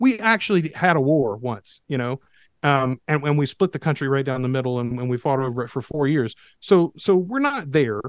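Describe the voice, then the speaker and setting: A man with an American accent and a plain, everyday voice, fairly high in pitch, with lively intonation at a moderate pace in a dry, close sound with no echo. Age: 40s. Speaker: podcast producer. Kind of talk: casual chat.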